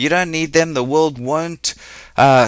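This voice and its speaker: A man with a South African accent at a fairly quick pace. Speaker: business coach. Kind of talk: webinar presentation. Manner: fast.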